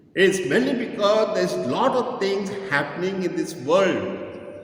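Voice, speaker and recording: Over noticeable background noise, a man with a high voice speaks at a very slow pace with ordinary pitch variation. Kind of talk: sermon / homily.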